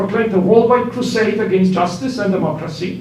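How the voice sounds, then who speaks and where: A man's voice shows ordinary pitch variation amid audible room echo and noticeable background noise. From Poland. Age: 50s. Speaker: professor. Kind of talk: public comment at council meeting.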